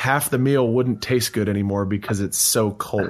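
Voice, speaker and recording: An ordinary speaking voice at a moderate pace. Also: man. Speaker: podcast host. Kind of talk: casual chat.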